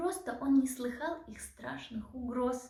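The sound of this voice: A woman with a high pitch and vocal fry speaks at a fairly slow pace in a dark, mellow tone, with ordinary pitch variation and audible room echo.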